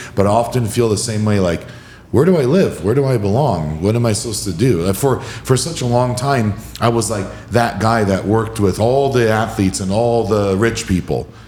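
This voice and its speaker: A man's medium-pitched voice at a fairly quick pace with ordinary pitch variation, amid audible room echo and noticeable background noise. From Hawaii. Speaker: podcast host, wellness coach. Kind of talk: podcast interview.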